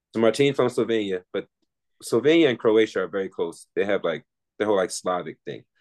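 A man talks at a fairly quick pace in an ordinary speaking voice, medium in pitch with ordinary pitch variation. The sound is dry and close, with no echo. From Philadelphia, US. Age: 30s. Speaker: professional basketball player. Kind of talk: casual interview.

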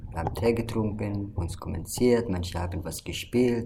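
In an Arabic accent, a man with a fairly low, somewhat breathy voice speaks at a moderate pace with ordinary pitch variation, and room echo is audible. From Syria. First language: Arabic (speaking German). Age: 20s. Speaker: refugee association member. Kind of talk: casual interview.

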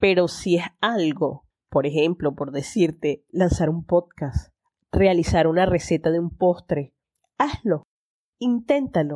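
Very slowly, a woman speaks in a fairly low, dark, mellow tone with lively intonation. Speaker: podcast host. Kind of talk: solo monologue. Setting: in bed. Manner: hesitant, repeats words.

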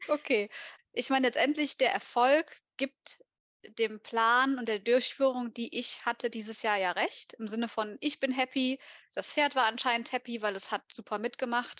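Against a quiet background, a woman talks in a high pitch with ordinary pitch variation, and the sound is dry and close with no echo. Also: moderate pace. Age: 30s. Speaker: competitive horse rider. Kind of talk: casual chat.

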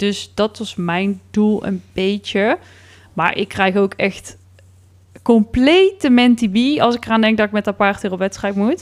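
On a very clean recording with a silent background, a woman speaks at a very slow pace with long, frequent pauses and ordinary pitch variation. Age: 30s. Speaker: podcast co-host. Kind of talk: casual chat.

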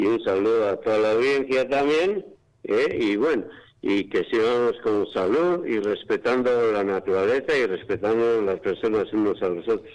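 Here a man speaks in a Basque accent. His pace is moderate. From Basque Country, Spain (Bergara, Gipuzkoa). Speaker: amateur weather observer. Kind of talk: phone interview.

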